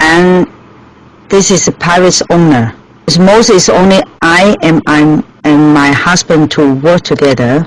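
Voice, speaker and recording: A woman with a Chinese accent, fairly low in pitch, at a fairly slow pace and very even loudness, with noticeable background noise. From Hong Kong. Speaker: restaurant owner. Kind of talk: interview. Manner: halting.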